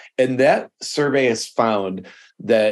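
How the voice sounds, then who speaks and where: A man speaks at a fairly slow pace in a plain, everyday voice with ordinary pitch variation. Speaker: nonprofit board consultant. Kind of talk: casual interview chat.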